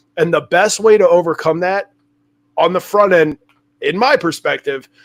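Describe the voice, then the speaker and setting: High-pitched male speech at a moderate pace. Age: 40s. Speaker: podcast host, former felon in recovery. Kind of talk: casual interview chat.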